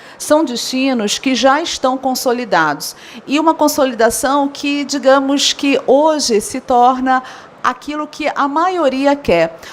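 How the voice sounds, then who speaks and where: A woman with a Rio de Janeiro accent speaks at a high pitch and a fairly slow pace. Noticeable background noise sits behind her. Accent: carioca. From Rio de Janeiro, Brazil. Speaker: event professional and speaker. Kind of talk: conference talk.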